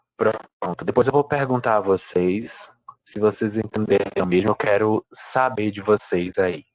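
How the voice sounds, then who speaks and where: A man with an unremarkable speaking voice talks at a fairly slow pace with ordinary pitch variation. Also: fairly low pitch for a man, dry, close sound with no echo. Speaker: essay writing teacher. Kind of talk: online live class. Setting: livestream with chat.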